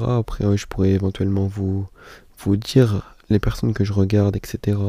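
This man's voice is somewhat breathy and fairly low, with a dark, mellow tone, monotone, flat intonation and a moderate pace. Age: 20s. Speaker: podcaster. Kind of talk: casual monologue. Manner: halting, many fillers.

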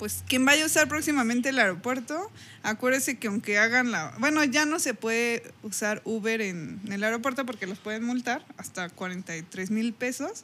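Her voice is fairly high with a bright, sharp tone, and this woman speaks with a Mexican accent. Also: lively intonation, moderate pace. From Mexico. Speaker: podcast host. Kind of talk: casual chat.

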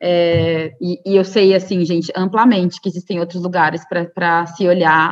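Monotone, flat delivery from a woman, pitched fairly low, at a moderate pace. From Brazil, Cuiabá, Mato Grosso. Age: 30s. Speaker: media activist, co-founder of a media collective. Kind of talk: interview. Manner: hesitant, many fillers.

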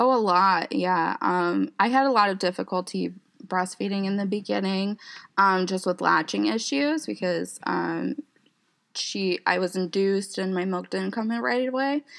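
Against a quiet background, a woman with an ordinary speaking voice talks at a medium pitch and a moderate pace with lively intonation. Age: 20s. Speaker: social worker and mother sharing her story. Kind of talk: personal testimony in interview. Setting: recording studio.

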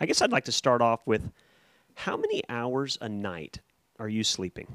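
The sound is dry and close, with no echo. A man with a normal speaking voice and medium pitch talks at a moderate pace. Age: 40s. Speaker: race timer and meteorologist. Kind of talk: casual chat. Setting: studio.

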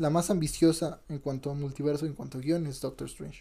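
On a very clean recording with a silent background, a man of fairly high pitch speaks at a moderate pace, somewhat breathy, in a dark, mellow tone with fairly even intonation. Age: 20s. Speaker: podcast host. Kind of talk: casual chat.

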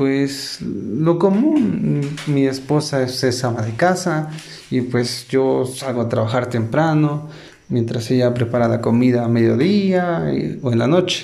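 The speech moves at a very slow pace with ordinary pitch variation. Noticeable background noise and audible room echo fill the recording. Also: man, medium pitch for a man. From Puebla, Mexico. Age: 20s. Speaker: entrepreneur. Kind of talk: interview answers. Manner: hesitant.

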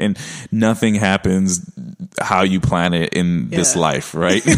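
Noticeable background noise is present in the clip. The voice shows ordinary pitch variation. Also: man. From Brooklyn, New York. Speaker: podcast guest, entrepreneur.

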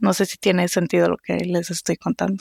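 A woman with vocal fry speaks at a moderate pace in a fairly low voice, recorded dry and close with no echo. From Costa Rica. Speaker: research scientist. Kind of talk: casual conversation.

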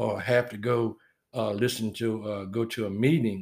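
In a Southern US accent, a man speaks at a medium pitch and moderate pace with monotone, flat intonation. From US South. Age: 60s. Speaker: military veteran. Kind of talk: casual chat.

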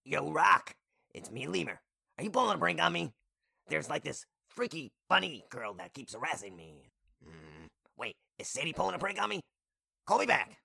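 Talking at a fairly quick pace yet with long, frequent pauses, a man at medium pitch shows big swings in loudness. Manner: slangy, laid-back, goofy.

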